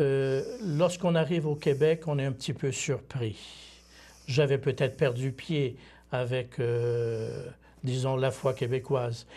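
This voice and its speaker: A somewhat breathy man speaks at a very slow pace with fairly even intonation. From Quebec, Bas-Saint-Laurent (Témiscouata); Quebec. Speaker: seminarian, former missionary; priest or missionary guest. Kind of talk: interview. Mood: calm, reflective. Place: studio. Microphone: lapel.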